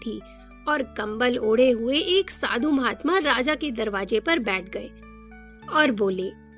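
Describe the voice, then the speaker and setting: Music plays in the background. A woman speaks in a high voice with lively intonation. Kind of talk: children's cartoon story narration.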